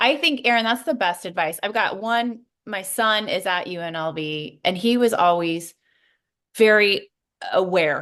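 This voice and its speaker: Against a quiet background, a woman with a plain, everyday voice speaks at a medium pitch with ordinary pitch variation. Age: 50s. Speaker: podcast co-host, sports media professional. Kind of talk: casual interview chat.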